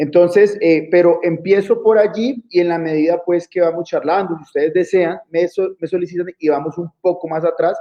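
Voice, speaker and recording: Hardly pausing, a man with a Colombian accent speaks at a moderate pace and a high pitch with fairly even intonation. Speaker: lawyer. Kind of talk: interview. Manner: hesitant, many fillers.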